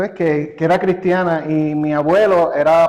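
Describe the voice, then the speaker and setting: At a fairly slow pace, a man in a Puerto Rican accent speaks with a fairly high pitch. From Puerto Rico. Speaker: church member. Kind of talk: interview. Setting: studio. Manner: halting, repeats words.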